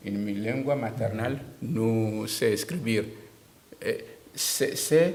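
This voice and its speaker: A man with a Togolese accent and a medium pitch speaks at a very slow pace with ordinary pitch variation. Audible room echo is present. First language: Tem (speaking Spanish). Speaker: writer. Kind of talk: interview. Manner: halting.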